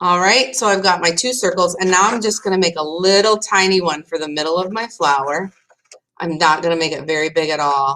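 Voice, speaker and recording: A woman with an unremarkable speaking voice, fairly low-pitched, at a fairly quick pace, with ordinary pitch variation. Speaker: art teacher. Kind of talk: tutorial. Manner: casual, thinking aloud with fillers.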